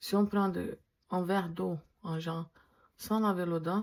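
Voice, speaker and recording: A woman speaks with a non-native accent at a medium pitch. Her tone is dark and mellow, her intonation fairly even. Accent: foreign accent in French. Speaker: dental technician. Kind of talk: casual vlog talk to camera. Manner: hesitant, with fillers.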